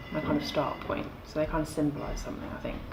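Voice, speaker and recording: A woman with an English accent at a very fast pace, her pitch very deep and low, amid audible room echo and noticeable background noise. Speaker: lingerie designer and brand founder. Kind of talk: casual interview. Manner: loud.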